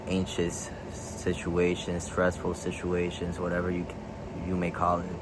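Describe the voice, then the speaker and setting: Someone with a Spanish accent speaks at a fairly slow pace. Noticeable background noise and audible room echo are present. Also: man. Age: 20s. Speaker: vlogger. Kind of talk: casual vlog.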